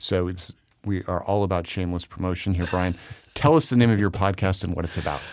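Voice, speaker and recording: A man speaks very fast in a very deep, low voice. His intonation stays fairly even. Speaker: podcast host. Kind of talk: interview.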